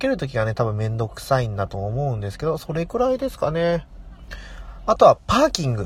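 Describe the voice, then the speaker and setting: His pitch swings very widely. The man talks at a fairly quick pace. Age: 30s. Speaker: podcast host; nurse. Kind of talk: casual monologue. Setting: in a car.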